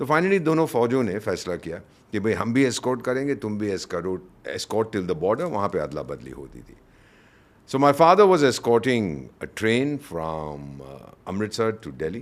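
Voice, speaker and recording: With very wide pitch swings and big swings in loudness, a man speaks at a fairly low pitch and a moderate pace. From India. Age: 70s. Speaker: retired diplomat. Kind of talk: interview. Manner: animated.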